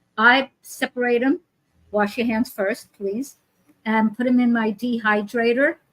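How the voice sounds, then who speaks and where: Fairly high and somewhat breathy, a woman's voice moves at a fairly slow pace with fairly even intonation, in a dry, close sound with no echo. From New York. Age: 80s. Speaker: author and wellness teacher. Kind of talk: casual interview chat.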